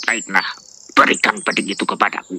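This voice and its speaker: A put-on character voice at a fairly quick pace. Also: man, fairly low pitch for a man. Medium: audio drama. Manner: arrogant, bullying, laughing.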